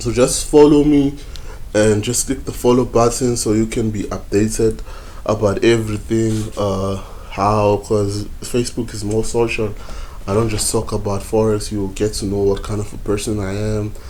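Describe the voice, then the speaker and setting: A man talks at a moderate pace with a Zulu accent and a fairly low pitch. His intonation stays fairly even, and audible room echo surrounds him. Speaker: forex trading YouTuber. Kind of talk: tutorial. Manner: hesitant, many fillers.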